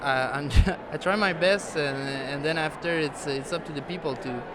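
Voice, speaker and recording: Noticeable background noise sits behind a man speaking with a Quebec accent. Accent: Québécois French accent in English. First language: French. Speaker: musician. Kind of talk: interview. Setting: music awards gala. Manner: halting, many fillers.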